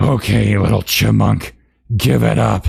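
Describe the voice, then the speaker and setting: A man puts on a raspy, hissing character voice at a very deep, low pitch. He talks at a fairly slow pace. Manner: menacing, hissing.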